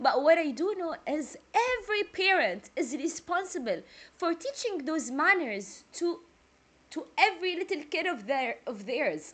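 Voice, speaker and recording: The speaker talks at a fairly slow pace with a Jordanian accent. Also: woman. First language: Arabic. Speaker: music reaction youtuber. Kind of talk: casual reaction video chat. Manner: talkative.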